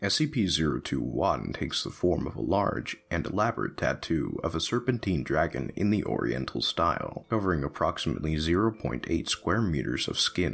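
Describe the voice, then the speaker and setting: A man's very deep, low voice with vocal fry, very wide pitch swings, and a moderate pace. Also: hardly any pauses. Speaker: narrator. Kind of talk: horror document narration.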